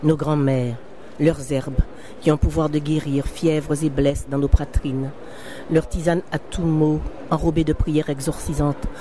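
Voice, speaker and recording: The speech comes at a fairly slow pace with long, frequent pauses and a monotone, flat intonation, against noticeable background noise. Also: woman, very deep, low pitch for a woman. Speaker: novelist reading her own book. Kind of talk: literary reading of a novel excerpt. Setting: live recording at a book fair.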